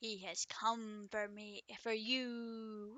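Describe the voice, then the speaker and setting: A woman's raspy put-on character voice, fairly high in pitch, with monotone, flat intonation. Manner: grasping, menacing.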